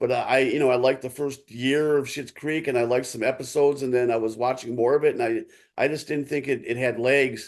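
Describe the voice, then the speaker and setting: Talking in an American accent, a man at a medium pitch keeps a fairly quick pace with hardly any pauses and flat, monotone intonation against a quiet background. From Ohio, Cleveland east side. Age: 60s. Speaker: author and sportswriter. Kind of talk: podcast interview. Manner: halting, many repeated words and fillers.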